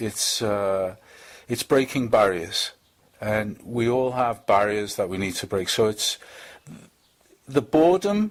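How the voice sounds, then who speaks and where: The speaker has a strong Liverpool accent. The intonation is lively. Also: man. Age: 50s. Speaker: charity fitness fundraiser. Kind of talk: interview. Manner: halting, many fillers and repetitions.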